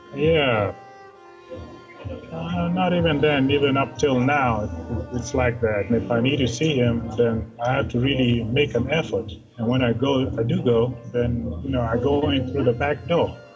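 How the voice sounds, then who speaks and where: Against music in the background, a man at a medium pitch speaks at a fairly slow pace, pausing long and often. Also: very even loudness. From Kenya. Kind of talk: interview answer.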